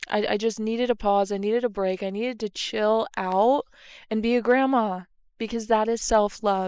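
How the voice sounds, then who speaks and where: Her voice is fairly high in pitch, delivered at a moderate pace in a monotone, flat way. This woman's recording is very clean, with a silent background. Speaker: podcast host and micro influencer. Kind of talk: casual solo podcast monologue. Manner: chatty with frequent fillers; natural conversational, not put-on.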